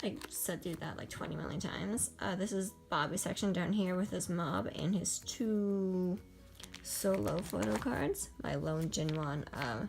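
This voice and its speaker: There is audible room echo. Music plays in the background. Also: woman. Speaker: kpop collector youtuber. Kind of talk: casual show-and-tell vlog. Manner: fast, rambling with fillers.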